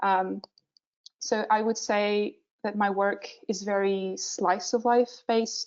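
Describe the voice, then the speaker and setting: A woman's medium-pitched voice in a Portuguese accent, with fairly even intonation. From Portugal. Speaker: visual development artist. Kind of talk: webinar presentation. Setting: online webinar, screen sharing. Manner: hesitant, many filler sounds.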